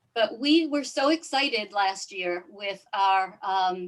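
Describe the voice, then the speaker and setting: This woman has a slight New York accent. Her medium pitch rises and falls with lively intonation. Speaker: yacht club commodore and event organizer. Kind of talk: webinar introduction. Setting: video call.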